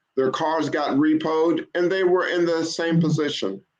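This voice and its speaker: A man speaks at a moderate pace with a fairly high pitch, in an ordinary speaking voice. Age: 60s. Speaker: car broker and credit advisor, retired teacher. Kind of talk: casual interview.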